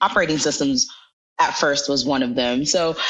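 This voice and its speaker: A woman's voice with very wide pitch swings at a moderate pace. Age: 20s. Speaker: software engineer and blogger. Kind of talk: interview. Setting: podcast interview.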